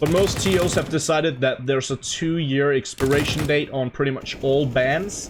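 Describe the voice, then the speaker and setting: Over noticeable background noise, the speech moves at a moderate pace with hardly any pauses. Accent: non-native. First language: not English. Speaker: esports commentator. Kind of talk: live commentary. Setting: home room with window open. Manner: animated.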